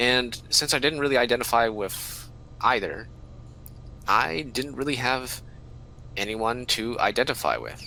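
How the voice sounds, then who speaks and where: In an American accent, a man talks at a fairly slow pace with long, frequent pauses, his medium-pitched voice bright and sharp in tone with vocal fry and fairly even intonation. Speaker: student podcast co-host. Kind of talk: casual chat.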